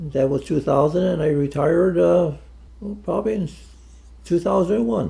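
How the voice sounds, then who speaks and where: Man's fairly high, somewhat breathy voice, dark, mellow tone, moderate pace, ordinary pitch variation, long, frequent pauses. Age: 80s+. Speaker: retiree. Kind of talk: interview answer.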